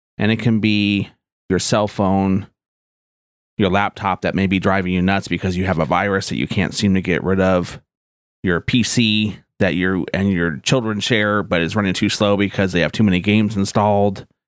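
With a normal speaking voice, a man talks at a moderate pace in a fairly low pitch, with fairly even intonation and very even loudness, on a very clean recording with a silent background. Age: 40s. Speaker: tech podcast host and IT manager. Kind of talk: scripted podcast intro monologue.

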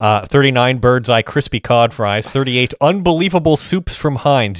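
With lively intonation at a moderate pace, the speaker has a plain, everyday voice. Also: man. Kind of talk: casual chat.

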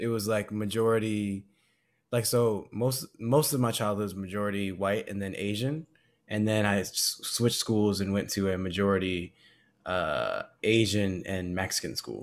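A normal speaking voice with an American accent, at a moderate pace with ordinary pitch variation. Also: man, fairly low pitch for a man. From Southern California. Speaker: podcast co-host. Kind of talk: casual chat.

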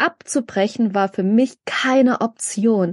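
A woman speaks at a very slow pace with a fairly high pitch and ordinary pitch variation. The background is quiet, and the sound is dry and close with no echo. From Germany, migrant background. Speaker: podcast co-host. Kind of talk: casual chat.

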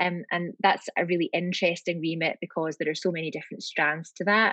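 A woman with a fairly low pitch is heard over a quiet background, the sound dry and close with no echo. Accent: Scottish. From Scotland, Glasgow. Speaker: lawyer. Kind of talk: interview. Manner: hesitant, many fillers.

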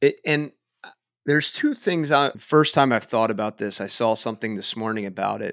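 This man has a normal speaking voice, with medium pitch, ordinary pitch variation and a moderate pace. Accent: American. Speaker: podcast host. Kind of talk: interview, casual conversation.

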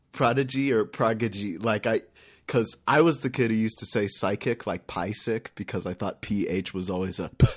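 A man's medium-pitched voice with a West Coast accent, a fairly quick pace, and ordinary pitch variation, on a very clean recording with a silent background. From California (Lake Elsinore). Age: 20s. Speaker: electronic musician. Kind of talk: casual interview chat. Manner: animated.

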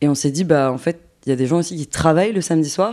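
With a dark, mellow tone, a woman speaks with ordinary pitch variation. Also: very clean recording, silent background. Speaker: documentary maker. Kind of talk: casual interview; scripted narration.

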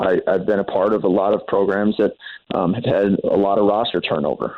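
This man has a normal speaking voice, fairly low in pitch, and talks at a moderate pace. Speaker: college basketball head coach. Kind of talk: radio interview.

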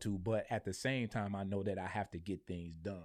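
A man with an American accent speaks in a fairly low voice with ordinary pitch variation, an unremarkable speaking voice. The recording is very clean, with a silent background. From Michigan, Flint. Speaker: marketing businessman and beer reviewer. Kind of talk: casual interview chat. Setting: studio.

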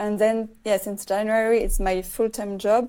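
A woman's fairly high voice, dark and mellow in tone, with a French accent. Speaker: filmmaker. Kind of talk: interview. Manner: halting.

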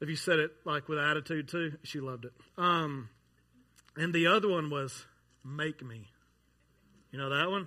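Speaking at a moderate pace with long, frequent pauses, a man has a bright, sharp tone, a fairly high pitch, ordinary pitch variation and big swings in loudness. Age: 30s. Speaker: pastor. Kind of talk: sermon. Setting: church.

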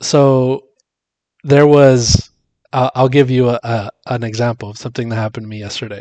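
A man with an ordinary speaking voice and an American accent talks at a moderate pace and medium pitch, with fairly even intonation. The sound is dry and close with no echo, and his loudness swings widely. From Miami, Florida, US. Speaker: podcast co-host. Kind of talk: casual chat.

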